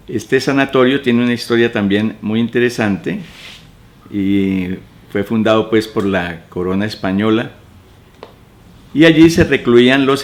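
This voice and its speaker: Over noticeable background noise, a man speaks fairly slowly at a fairly low pitch with ordinary pitch variation. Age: 70s. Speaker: retired teacher. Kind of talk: oral history interview. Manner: halting.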